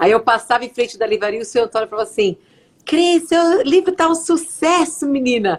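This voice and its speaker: Speaking at a fairly quick pace, a woman with a São Paulo accent uses a high pitch and very wide pitch swings. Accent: Brazilian Portuguese, São Paulo. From Brazil, São Paulo (São Bernardo do Campo). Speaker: psychologist and author. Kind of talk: interview. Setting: live video stream, remote.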